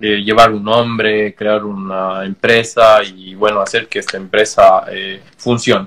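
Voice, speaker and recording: A man talks at a very slow pace in a fairly low pitch with monotone, flat intonation. His loudness swings widely. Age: 30s. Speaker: tattoo artist. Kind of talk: casual interview.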